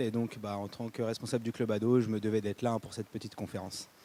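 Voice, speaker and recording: At a very fast pace, a man talks with a dark, mellow tone. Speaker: youth club manager. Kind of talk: self-introduction.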